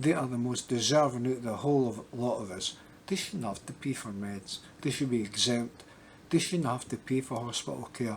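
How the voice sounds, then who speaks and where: A man talks at a medium pitch and a moderate pace. His pitch varies in an ordinary way. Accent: American. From Scotland. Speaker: YouTuber. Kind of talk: casual vlog update. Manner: halting, many fillers and repetitions.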